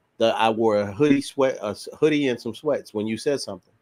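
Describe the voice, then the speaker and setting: Fairly even in intonation, a plain, everyday voice comes through with a dry, close sound and no echo. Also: man. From US Midwest, St. Louis. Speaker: clothing brand owner and military veteran. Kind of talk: casual interview chat.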